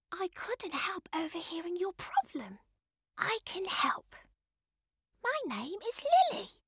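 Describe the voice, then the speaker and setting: A woman puts on a squeaky character voice at an extremely high pitch. She goes at a fairly slow pace, leaving long, frequent pauses. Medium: read story.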